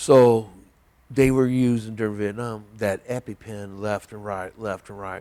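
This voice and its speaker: With an American accent, a man speaks at a fairly slow pace and fairly low pitch in a dark, mellow tone, his loudness swinging widely on a very clean recording with a silent background. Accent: Southern drawl, comes out at times. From southern Indiana, near Evansville. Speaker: army veteran. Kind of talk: oral history interview. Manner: halting, many fillers.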